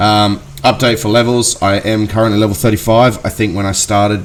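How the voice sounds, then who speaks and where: A man with an Australian accent talks at a fairly quick pace and a fairly low pitch with ordinary pitch variation. Noticeable background noise sits behind him. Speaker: gaming youtuber. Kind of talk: gameplay commentary. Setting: at home. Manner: halting, many fillers.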